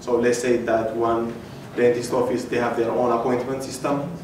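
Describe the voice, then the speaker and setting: At a fairly quick pace, a man is heard with audible room echo and noticeable background noise. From Ethiopia. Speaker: hackathon participant presenting his project. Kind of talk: project demo pitch. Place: hall. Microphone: camera far.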